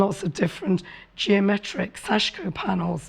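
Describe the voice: With a medium pitch, a woman speaks with vocal fry and a slightly husky edge.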